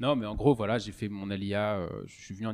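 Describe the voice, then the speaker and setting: On a very clean recording with a silent background, a man talks at a fairly low pitch. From France, Strasbourg (Alsace). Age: 20s. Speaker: podcast host, engineer. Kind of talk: casual chat. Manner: halting, many fillers and repetitions.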